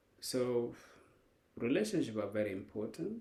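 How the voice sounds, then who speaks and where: A man with a non-native accent speaks in a dark, mellow tone, with audible room echo around him. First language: not English. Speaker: life coach. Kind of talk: lecture. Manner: halting.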